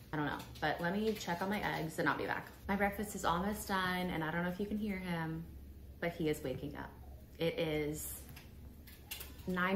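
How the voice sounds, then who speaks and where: Fairly low in pitch, a woman talks with fairly even intonation amid audible room echo. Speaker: lifestyle vlogger and new mom. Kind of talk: casual vlog chat.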